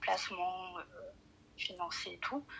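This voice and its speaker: A woman's voice over noticeable background noise. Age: 20s. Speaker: caller. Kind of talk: phone call-in, personal problem. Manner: soft-spoken; hesitant, many fillers.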